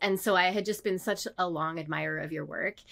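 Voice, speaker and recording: A woman's voice with vocal fry and fairly even intonation, on a very clean recording with a silent background. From Canada. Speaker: designer and illustrator. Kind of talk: casual chat.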